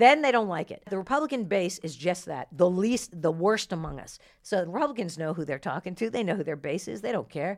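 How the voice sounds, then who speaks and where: A woman with an American accent talks fairly quickly at medium pitch, with very wide pitch swings and big swings in loudness, on a very clean recording with a silent background. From New Jersey. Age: 50s. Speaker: comedian. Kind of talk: casual chat. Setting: studio.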